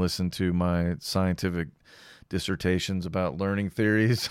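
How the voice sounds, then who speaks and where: Very deep and low, a man's voice with an American accent moves at a fairly quick pace with fairly even intonation on a very clean recording with a silent background. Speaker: podcast host. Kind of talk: solo podcast monologue, casual talk. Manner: casual, rambling, with fillers.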